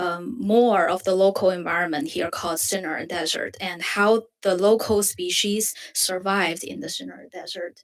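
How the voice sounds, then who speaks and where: At a fairly slow pace, a woman speaks in a Chinese accent, her medium pitch showing ordinary variation. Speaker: design student. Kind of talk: presentation. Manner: halting.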